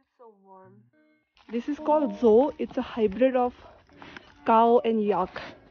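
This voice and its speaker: A woman at a fairly high pitch, fairly slow with long, frequent pauses, ordinary pitch variation and big swings in loudness, over music in the background. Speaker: vlogger. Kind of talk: casual vlog narration.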